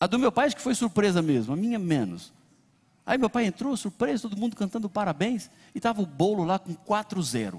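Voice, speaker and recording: A man talks at a high pitch with lively intonation and a fairly quick pace. The sound is dry and close, with no echo. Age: 40s. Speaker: pastor. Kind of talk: sermon. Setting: church.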